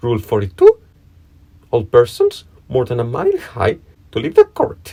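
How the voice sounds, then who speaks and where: In a put-on character voice, a man cackles at a moderate pace and medium pitch, the sound dry and close with no echo. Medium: read story. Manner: pompous, self-important.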